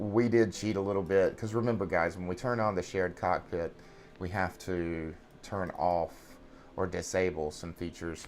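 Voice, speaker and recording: A man talks in a New England accent with very deep, low pitch. His intonation is fairly even. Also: moderate pace. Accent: Yankee. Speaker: flight sim streamer. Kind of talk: casual live-stream chat. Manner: halting, many fillers.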